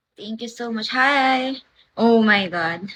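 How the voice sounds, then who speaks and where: A woman with a fairly high pitch and a bright, sharp tone talks at a very slow pace. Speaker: livestreamer. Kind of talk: live stream chat with viewers. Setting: at someone else's house. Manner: soft-spoken, low volume; animated.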